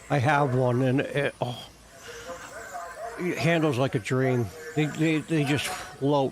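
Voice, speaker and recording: Over music in the background, a man with a New Jersey accent talks at a very slow pace with ordinary pitch variation. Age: 50s. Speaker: RC car hobbyist streamer. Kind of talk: casual live stream chat. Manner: halting, repeats words.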